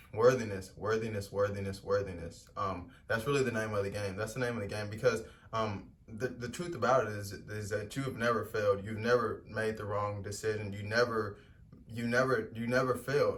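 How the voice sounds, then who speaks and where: Over noticeable background noise and audible room echo, a man speaks with fairly low pitch. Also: fairly quick pace. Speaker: spiritual vlogger. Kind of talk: motivational talk. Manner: fast; animated.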